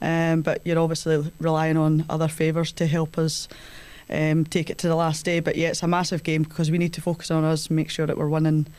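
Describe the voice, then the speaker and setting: Speaking at a fairly quick pace, a woman uses a very deep, low pitch, very even loudness and monotone, flat intonation. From Scotland, Falkirk. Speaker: professional footballer, club captain. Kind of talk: podcast interview.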